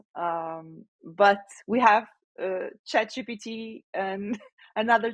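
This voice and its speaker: Speaking very slowly with a non-native accent, a woman uses a fairly high pitch with ordinary pitch variation and big swings in loudness over a quiet background. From Portugal. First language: Portuguese. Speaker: generative AI specialist and author. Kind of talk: interview answer. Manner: halting, with hesitations.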